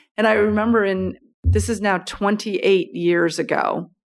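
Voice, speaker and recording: A woman with an American accent speaks in an ordinary speaking voice at medium pitch. Her pace is moderate, and the recording is very clean with a silent background. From United States. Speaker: business executive. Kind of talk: interview. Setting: office.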